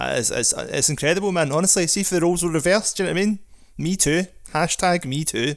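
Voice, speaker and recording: A man talks very fast in a high voice with a Scottish accent. His pitch varies in an ordinary way. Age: 40s. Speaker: podcast co-host. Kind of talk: casual chat. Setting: video call.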